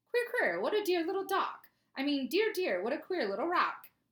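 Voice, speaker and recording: Putting on a squeaky character voice, a woman talks at a moderate pace with an extremely high pitch. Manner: playful, muddled word-swapping.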